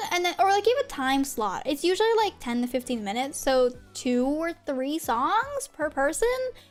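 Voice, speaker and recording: Over music in the background, a woman talks at a moderate pace with very wide pitch swings and hardly any pauses. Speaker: vtuber streamer. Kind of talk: casual chat. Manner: halting, many fillers; talkative.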